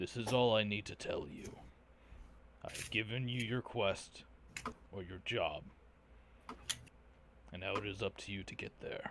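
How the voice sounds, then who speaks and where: In a put-on character voice, a man speaks at a medium pitch and a moderate pace, sounding raspy and leaving long, frequent pauses over clear background noise. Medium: actual play. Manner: formal, measured, authoritative.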